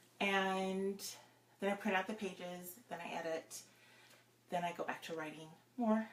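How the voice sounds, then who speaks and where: Over noticeable background noise, a woman with a medium pitch speaks at a moderate pace in a fairly even tone, with long, frequent pauses. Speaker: romance novelist. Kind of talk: casual live-stream chat. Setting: home office, live video.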